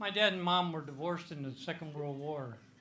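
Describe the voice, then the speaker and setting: With a Midwestern US accent, a man speaks at a fairly high pitch in a bright, sharp tone, and audible room echo surrounds his voice. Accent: US Midwest. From Iowa. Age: 80s+. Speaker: comedian. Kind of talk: stand-up.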